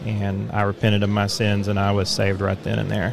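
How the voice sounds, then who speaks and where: A man with a fairly low pitch is heard amid noticeable background noise and audible room echo. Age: 30s. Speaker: former Jehovah's Witness. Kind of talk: testimony.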